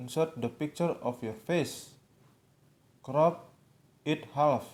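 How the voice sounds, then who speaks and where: A man with a non-native accent speaks very slowly at a fairly high pitch with ordinary pitch variation. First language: not English. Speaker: tutorial video maker. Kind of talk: tutorial. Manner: halting.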